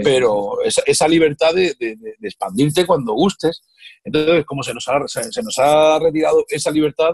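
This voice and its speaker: A man speaks at a moderate pace. The sound is dry with no echo, against a quiet background. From Murcia, Spain. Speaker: comedian. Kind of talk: interview answer. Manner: casual, humorous. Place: home room. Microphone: video call.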